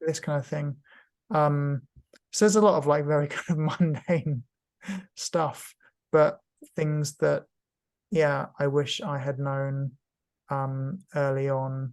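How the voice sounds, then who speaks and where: This man talks at a very slow pace with long, frequent pauses. His pitch is fairly high and his intonation fairly even. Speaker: cancer patient and patient advocate. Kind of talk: casual interview. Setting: video call. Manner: halting, many fillers.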